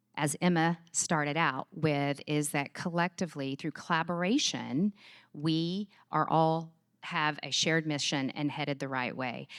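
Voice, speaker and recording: A fairly slow voice with a Texas accent, dry and close with no echo, on a very clean recording with a silent background. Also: woman. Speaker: charity executive. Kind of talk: conference talk. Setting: stage with audience. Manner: animated.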